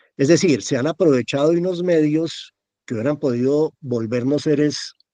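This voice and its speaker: A man's fairly high-pitched voice at a fairly slow pace, with ordinary pitch variation and a dry, close sound with no echo. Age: 60s. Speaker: actor. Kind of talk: casual chat. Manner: animated.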